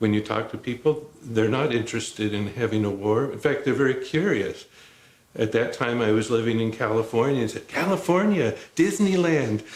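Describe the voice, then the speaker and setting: This man has a plain, everyday voice with an American accent and a medium pitch. His intonation is lively and his pace is moderate. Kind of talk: documentary interview.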